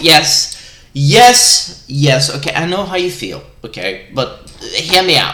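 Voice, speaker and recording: A man speaks with lively intonation over noticeable background noise, and the room echo is audible. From Norway. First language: Norwegian. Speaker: gamer vlogger. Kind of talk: casual rant. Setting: live stream. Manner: animated; halting.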